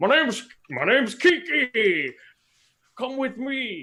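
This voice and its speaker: This is a put-on character voice. It unfolds at a fairly slow pace. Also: man, extremely high pitch for a man. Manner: strange.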